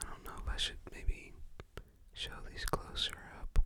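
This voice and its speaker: The whisper moves at a very slow pace. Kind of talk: ASMR whispered show-and-tell of a movie collection. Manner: whispered, soft-spoken.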